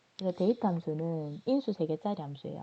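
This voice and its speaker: Against a quiet background, a woman speaks at a moderate pace with lively intonation. Her fairly low voice has a dark, mellow tone. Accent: strong Gyeongsang. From Gyeongsang region, South Korea. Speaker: instructor. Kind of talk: lecture. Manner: conversational, explanatory.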